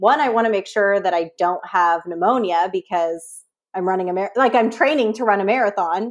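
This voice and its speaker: Against a quiet background, a woman in a Californian accent speaks at a medium pitch and a moderate pace, with ordinary pitch variation. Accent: Californian American. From San Francisco Bay Area. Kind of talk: casual interview chat. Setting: live video call.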